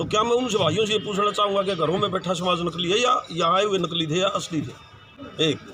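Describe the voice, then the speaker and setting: A man's raised, projected voice at a high pitch and moderate pace, with noticeable background noise. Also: ordinary pitch variation. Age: 60s. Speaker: community representative. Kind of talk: media interview.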